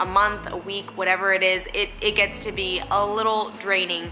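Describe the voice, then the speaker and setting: Faint music plays in the background. A woman speaks at a moderate pace with monotone, flat intonation. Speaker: fitness vlogger. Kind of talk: casual vlog chat. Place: home room. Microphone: phone near.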